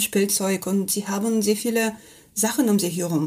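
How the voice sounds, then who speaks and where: Somewhat breathy, a woman speaks at a medium pitch. Her pace is moderate. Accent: Russian. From Russia, Kamchatka. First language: Russian (speaking German). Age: 40s. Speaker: mountain guide and teacher. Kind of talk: interview.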